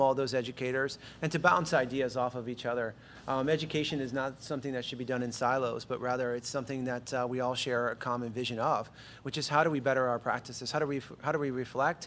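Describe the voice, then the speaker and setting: Speaking at a very fast pace, a man keeps a medium pitch and fairly even intonation. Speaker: school administrator. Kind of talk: budget presentation at board meeting. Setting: school board meeting, live stream.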